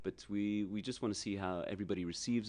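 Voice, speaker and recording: Over a quiet background, a man with an American accent talks at a moderate pace, his fairly low pitch held in fairly even intonation. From New York (Queens), then South Africa from teens. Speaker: rock musician. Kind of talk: radio interview.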